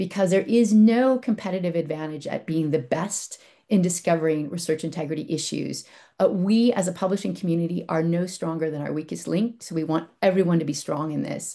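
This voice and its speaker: Against a quiet background, a woman with an unremarkable speaking voice talks at a fairly quick pace, her fairly low pitch showing ordinary variation. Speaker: publishing industry representative. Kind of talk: conference presentation.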